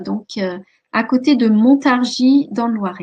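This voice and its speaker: A woman talks at a fairly high pitch. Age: 50s. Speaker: life coach and hypnotherapist. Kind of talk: webinar presentation. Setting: online webinar. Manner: many hesitations (euh).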